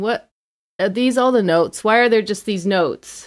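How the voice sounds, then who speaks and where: In a very clean recording with a silent background, a woman speaks at a fairly high pitch with ordinary pitch variation. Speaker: microtonal musician. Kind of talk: casual chat. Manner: animated, laughs often.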